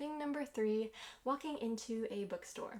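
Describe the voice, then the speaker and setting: With a normal speaking voice, a woman talks at a moderate pace, her fairly high pitch carried by lively intonation. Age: 20s. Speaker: author. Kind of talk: casual talk to camera.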